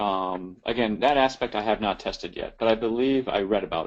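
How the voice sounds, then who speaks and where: A man talks at a moderate pace with a fairly low pitch and ordinary pitch variation. He speaks with an American accent. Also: quiet background. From US Midwest. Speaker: tech presenter. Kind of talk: webinar Q&A discussion. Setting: live webinar.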